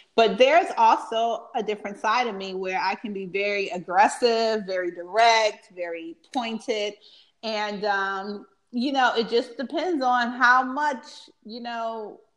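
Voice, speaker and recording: A woman's fairly high-pitched voice with big swings in loudness, ordinary pitch variation and a fairly slow pace, over a quiet background. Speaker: stay-at-home mom. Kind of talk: casual chat. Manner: soft-spoken.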